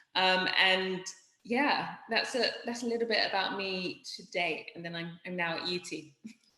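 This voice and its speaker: A woman with a British accent speaks at a fairly slow pace in a medium pitch. Her pitch varies in an ordinary way, while her loudness swings widely. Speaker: startup founder and CEO. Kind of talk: interview.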